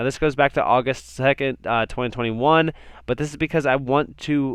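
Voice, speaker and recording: This man talks at a medium pitch with a quiet background behind him. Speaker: crypto YouTuber. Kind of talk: market analysis video. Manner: fast.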